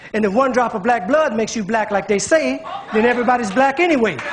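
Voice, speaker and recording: A man with an American accent, extremely high-pitched, with ordinary pitch variation, talking at a very fast pace over background music. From United States. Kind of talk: spoken word poetry performance.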